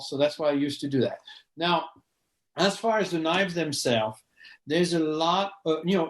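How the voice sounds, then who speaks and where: Ordinary pitch variation at a fairly quick pace. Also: man. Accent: French. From France. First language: French. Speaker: knife sharpening business owner. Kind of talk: interview. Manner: halting, repeats words.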